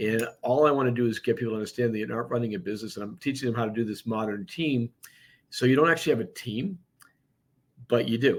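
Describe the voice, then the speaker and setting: With an American accent, a man speaks at a very fast pace, using a medium pitch and ordinary pitch variation. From Boston, US. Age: 60s. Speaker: real estate broker and business owner. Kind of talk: podcast interview. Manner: animated.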